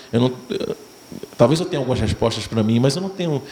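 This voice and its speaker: Lively intonation over noticeable background noise. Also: man. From Pernambuco, Brazilian Northeast. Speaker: actor. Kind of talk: festival Q&A answer.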